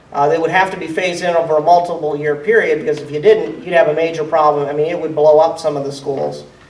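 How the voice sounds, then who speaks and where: A man with an American accent talks at a very fast pace and a high pitch. Audible room echo and noticeable background noise fill the recording. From central Ohio. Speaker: state legislator. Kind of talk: town hall Q&A. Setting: town hall meeting.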